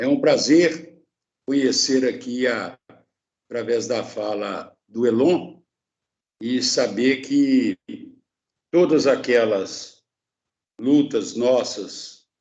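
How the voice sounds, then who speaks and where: A man talks at a very slow pace. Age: 60s. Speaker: psychoanalyst. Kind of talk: panel discussion.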